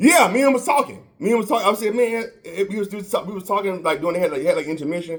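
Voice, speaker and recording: Noticeable background noise sits under a man's high-pitched voice. He talks at a very fast pace with lively intonation. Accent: American. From Florida. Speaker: podcast host. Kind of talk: casual chat. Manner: halting, many repetitions.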